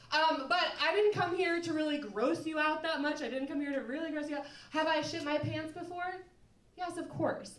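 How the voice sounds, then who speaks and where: There is audible room echo as a woman with an American accent talks at a moderate pace and high pitch, with ordinary pitch variation. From Minnesota. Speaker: musician and comedian. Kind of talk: live storytelling.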